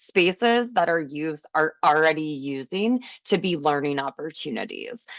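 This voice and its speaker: A woman speaks in an unremarkable speaking voice with lively intonation. Her pace is moderate, and the background is quiet. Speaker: special education teacher / trainer. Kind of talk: webinar presentation.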